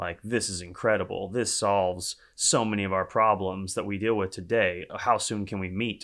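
With a Texan accent, a man speaks at a moderate pace and fairly low pitch in a monotone, flat intonation, hardly any pauses, on a very clean recording with a silent background. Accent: Southern US, Texan twang. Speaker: startup co-founder. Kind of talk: casual interview. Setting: in person in New York.

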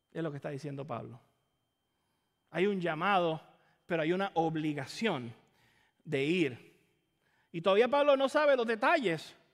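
A man with a Caribbean Spanish accent speaks at a moderate pace with long, frequent pauses. His high pitch swings very widely in a very clean recording with a silent background. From Caribbean island. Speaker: pastor. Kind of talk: sermon. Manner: repeats words, halting.

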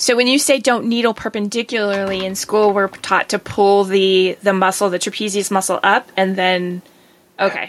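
A woman talks in an ordinary speaking voice at a moderate pace. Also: medium pitch for a woman, fairly even intonation. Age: 50s. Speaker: acupuncturist and podcast host. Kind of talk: casual interview.

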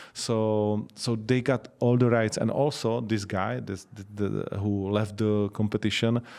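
A man with a Czech accent, fairly low pitch, fairly slow pace and fairly even intonation in a very clean recording with a silent background. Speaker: MMA commentator and promoter. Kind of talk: interview. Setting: in person.

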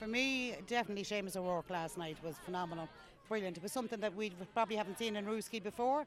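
A woman with an Irish accent at a very fast pace, medium pitch and ordinary pitch variation, over noticeable background noise. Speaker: festival volunteer. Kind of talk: casual interview chat. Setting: outdoors at festival.

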